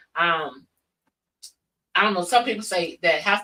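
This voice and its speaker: With an American accent, a woman talks at a fairly quick pace in an unremarkable speaking voice. Her pitch is fairly low, with ordinary pitch variation. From Flint, Michigan. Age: 60s. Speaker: church youth director. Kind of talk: casual interview chat.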